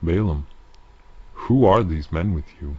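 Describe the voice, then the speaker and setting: A man puts on a character voice that is very deep and low. He speaks at a fairly slow pace. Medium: read story. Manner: commanding, grave.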